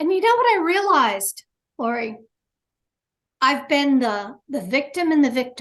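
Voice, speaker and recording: A woman's high voice with very wide pitch swings, at a moderate pace with long, frequent pauses. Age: 60s. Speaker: near-death experiencer. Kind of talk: interview testimony. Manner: halting, repeating words.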